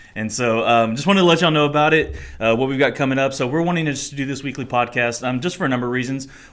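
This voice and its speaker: With noticeable background noise behind him, a man speaks at a very fast pace with hardly any pauses, at medium pitch and with ordinary pitch variation. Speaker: college and singles minister, podcast host. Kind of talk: casual chat. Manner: announcer-like delivery in front of mic.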